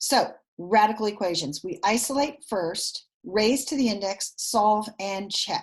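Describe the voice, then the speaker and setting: Her voice fairly high and somewhat breathy, a woman speaks with lively intonation. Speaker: math teacher. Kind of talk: recorded lesson. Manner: fast.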